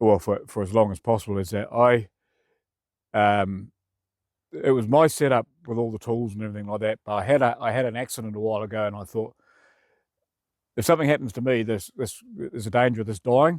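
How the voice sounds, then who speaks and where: A man with a New Zealand accent talks at a very fast pace with long, frequent pauses, in a dry, close, very clean recording with no echo and a silent background. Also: medium pitch for a man, ordinary pitch variation. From New Zealand (Feilding). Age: 60s. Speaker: community volunteer. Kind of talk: interview testimony. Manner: casual, halting.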